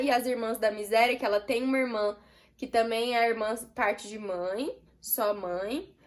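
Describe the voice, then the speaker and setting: On a very clean recording with a silent background, a woman speaks at a fairly slow pace in a high, bright, sharp voice with ordinary pitch variation. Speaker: book youtuber. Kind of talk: book review vlog. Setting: home, street noise outside.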